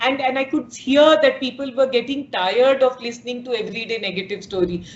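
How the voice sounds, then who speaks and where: Noticeable background noise sits behind a woman talking at a fairly quick pace. Her voice is high, with ordinary pitch variation. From India, Bihar. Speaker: media startup founder and CEO. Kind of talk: interview.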